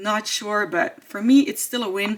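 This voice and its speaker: Moderately paced speech from a woman with a non-native accent. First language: not English. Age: 30s. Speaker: beauty YouTuber. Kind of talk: product review vlog. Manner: hesitant, with fillers.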